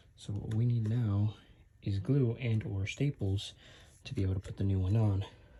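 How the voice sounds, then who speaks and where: Quiet and somewhat breathy, a man speaks at a moderate pace with a fairly low pitch and fairly even intonation. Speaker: car DIY video maker. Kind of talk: tutorial. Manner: casual, with many fillers. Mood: relaxed, unbothered. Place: home room. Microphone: phone near.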